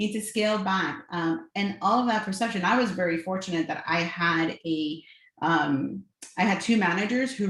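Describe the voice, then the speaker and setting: Over noticeable background noise, a woman with an American accent talks with ordinary pitch variation. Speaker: corporate real estate executive. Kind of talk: panel discussion. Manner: fast-talking.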